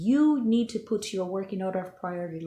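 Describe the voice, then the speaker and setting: Somewhat breathy, a woman speaks at a medium pitch and moderate pace with lively intonation. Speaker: health and lifestyle vlogger. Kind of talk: casual Q&A vlog answering viewer questions. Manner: conversational with many fillers.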